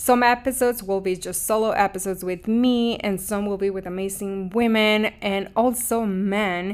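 A woman with a Mexican accent and medium pitch, at a moderate pace with hardly any pauses and fairly even intonation, on a very clean recording with a silent background. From Mexico. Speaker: podcast host, spiritual coach. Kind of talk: scripted intro then casual personal monologue. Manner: warm, earnest, emotive.

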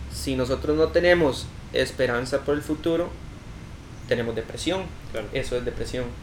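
His speech runs at a fairly quick pace. Long pauses break it up frequently. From Costa Rica, Cartago. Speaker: youtuber and filmmaker. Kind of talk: casual interview.

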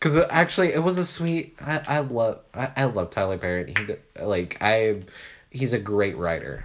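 A man with an ordinary speaking voice, moderate pace and lively intonation. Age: 20s. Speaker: podcast co-host. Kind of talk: casual chat.

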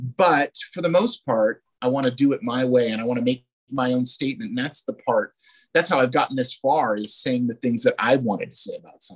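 Speaking in a plain, everyday voice, a man talks at a fairly quick pace and medium pitch with ordinary pitch variation and a dry, close sound with no echo. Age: 40s. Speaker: trading card producer and former retoucher. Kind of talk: casual interview chat.

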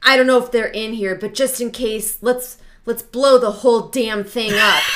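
In a put-on character voice, a woman with a fairly high pitch speaks raspily at a moderate pace with monotone, flat intonation. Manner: aggressive, gung-ho.

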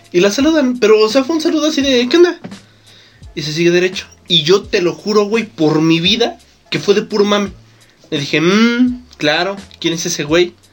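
A man speaks in an animated tone at a moderate pace, his high pitch making very wide swings. Music plays behind him. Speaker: podcast co-host. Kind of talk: casual chat.

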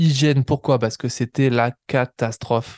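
A man speaks at a very slow pace and medium pitch, his intonation fairly even. The background is quiet, and the sound is dry and close with no echo. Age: 20s. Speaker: podcast host and ultra-distance cyclist. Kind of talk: casual monologue. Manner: hesitant, with many fillers.

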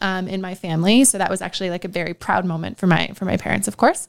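A woman's plain, everyday voice with a Canadian accent, medium in pitch and fairly even in intonation, on a very clean recording with a silent background. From Ontario, Canada (small town north of Toronto). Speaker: marketing executive. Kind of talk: casual interview.

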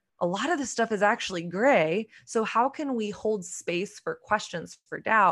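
On a very clean recording with a silent background, a woman with an American accent and a normal speaking voice speaks fairly slowly at a fairly high pitch with lively intonation. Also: hardly any pauses. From Texas, Dallas. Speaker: author and podcaster. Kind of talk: casual interview chat.

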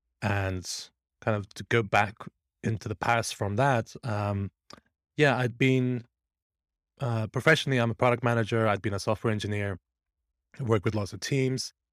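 A man with a British accent talks at a medium pitch and a moderate pace, using fairly even intonation. He leaves long, frequent pauses on a very clean recording with a silent background. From born in Iran, grew up in the UK. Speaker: product management coach. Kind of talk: casual interview conversation.

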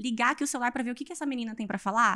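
The voice is animated in tone, with ordinary pitch variation. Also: woman. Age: 20s. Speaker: fitness influencer and physical education graduate. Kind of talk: casual interview chat.

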